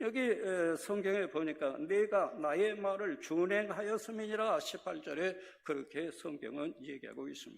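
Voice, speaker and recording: Pitched high, a man speaks at a moderate pace with lively intonation and hardly any pauses. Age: 70s. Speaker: retired senior pastor. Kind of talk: sermon. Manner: halting, many filler sounds.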